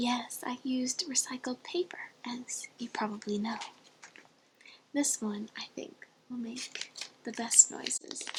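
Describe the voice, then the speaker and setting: Amid noticeable background noise, a soft-spoken voice with a gentle tone moves at a fairly slow pace, broken by long, frequent pauses. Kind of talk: ASMR soft-spoken roleplay story time. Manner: soft-spoken, gentle.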